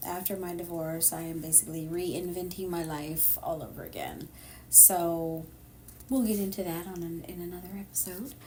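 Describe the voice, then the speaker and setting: A woman with an American accent, in audible room echo. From Sacramento, California. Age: 50s. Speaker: podcast co-host. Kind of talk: casual chat.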